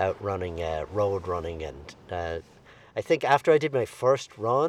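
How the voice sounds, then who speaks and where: Speaking with an Irish accent, a man keeps a moderate pace. His fairly low pitch carries lively intonation. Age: 60s. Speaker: amateur ultra runner. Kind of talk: casual chat.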